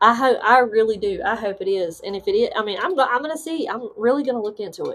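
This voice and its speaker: With a Southern US accent, the speaker uses ordinary pitch variation. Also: woman. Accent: Southern country. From US South, western North Carolina mountains. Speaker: paranormal podcast host. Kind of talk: live stream chat reading viewer comments. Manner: casual, animated.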